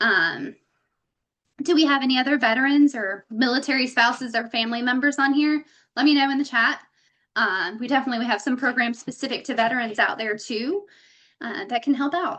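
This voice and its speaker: A woman with a high pitch talks fairly quickly, her pitch varying in an ordinary way. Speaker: real estate broker. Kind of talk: webinar presentation. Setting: online webinar. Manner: fast; casual, chatty with fillers.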